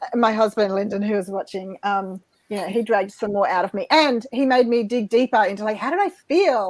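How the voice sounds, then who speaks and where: A woman with an Australian accent talks at a fairly quick pace, with hardly any pauses. Her voice sounds dry and close, without echo. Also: ordinary pitch variation. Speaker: life coach and author. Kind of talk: interview.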